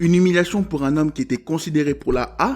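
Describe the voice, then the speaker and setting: Recorded very cleanly against a silent background, a man speaks at a fairly quick pace in a fairly high pitch. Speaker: football analysis youtuber. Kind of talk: scripted narration.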